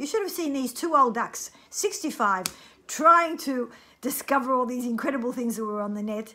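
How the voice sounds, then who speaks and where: Her fairly high voice has a bright, sharp tone and lively intonation as the woman speaks at a fairly quick pace. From France. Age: 60s. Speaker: cancer survivor sharing experience. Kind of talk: personal testimony. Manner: animated, talkative.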